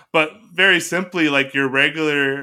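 Over a silent background in a very clean recording, a man talks at a moderate pace in a bright, sharp tone. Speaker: digital media creator and writer. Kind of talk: casual chat.

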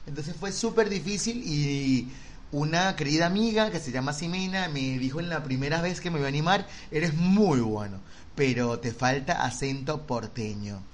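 A man's fairly high voice with lively intonation at a moderate pace, plus audible room echo. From Venezuela. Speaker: podcast host. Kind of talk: casual chat.

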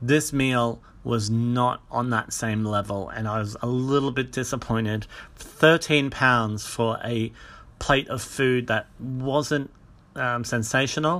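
At a very slow pace, a man speaks at a medium pitch with fairly even intonation, captured on a very clean recording with a silent background. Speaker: podcaster and vegan blogger. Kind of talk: casual solo podcast. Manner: unscripted, rambling with fillers.

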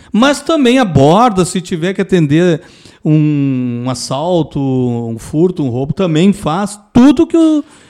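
Over a very clean recording with a silent background, a man with a high pitch and a dark, mellow tone speaks at a very slow pace with very wide pitch swings. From Rio Grande do Sul, Pelotas. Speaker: retired military police sergeant, traffic safety specialist. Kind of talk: casual interview chat.

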